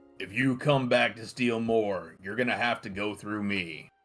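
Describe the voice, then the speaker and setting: A man uses a put-on character voice at a medium pitch and a moderate pace, with big swings in loudness. Faint music plays in the background. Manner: threatening.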